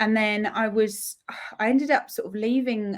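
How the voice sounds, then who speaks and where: A woman with a southeast English accent speaks at a fairly slow pace in a fairly high pitch. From southeast England (Essex area). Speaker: magazine editor. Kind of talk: interview. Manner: chatty.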